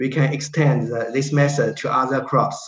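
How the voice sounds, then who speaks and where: With a Chinese accent and vocal fry, a man speaks at a fairly slow pace amid audible room echo. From China. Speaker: researcher. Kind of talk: Q&A session. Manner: halting. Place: home room. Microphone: webcam.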